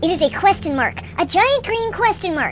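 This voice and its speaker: Using a squeaky put-on character voice, a woman talks at a moderate pace over clear background noise. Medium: audio drama. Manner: precise, pedantic.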